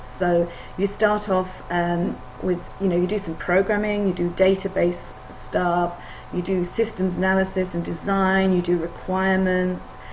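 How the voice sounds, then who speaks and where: A woman talks at a fairly slow pace in a flat, monotone intonation at a medium pitch. Noticeable background noise and audible room echo fill the recording. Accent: English. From England. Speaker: IT consultant. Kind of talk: course video introduction. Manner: hesitant, many fillers.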